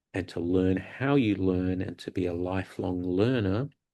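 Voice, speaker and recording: This man has a very deep, low pitch and a dark, mellow tone, with an Australian accent. He speaks at a very slow pace over a quiet background. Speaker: university academic, guest speaker. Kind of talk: lecture.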